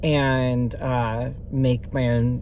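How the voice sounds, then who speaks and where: A man's medium-pitched, monotone, flat delivery, with noticeable background noise and audible room echo. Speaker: vlogger. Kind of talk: casual vlog update. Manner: halting, many fillers.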